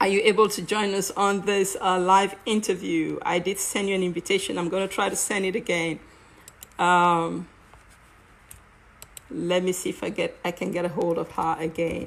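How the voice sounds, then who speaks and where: At a moderate pace, a woman with a strong Cameroonian accent talks at a medium pitch with fairly even intonation. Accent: heavy Cameroonian African. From Cameroon, Bamenda (anglophone). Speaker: live stream host. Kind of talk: live stream introduction. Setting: live online video stream. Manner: hesitant, many fillers.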